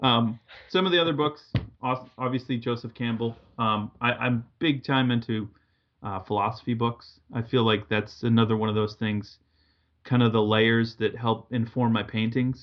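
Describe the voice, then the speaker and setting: A man with a medium pitch and fairly even intonation speaks in a normal speaking voice at a moderate pace. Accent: American. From Massachusetts, New England. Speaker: painter and art teacher. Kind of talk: casual interview chat.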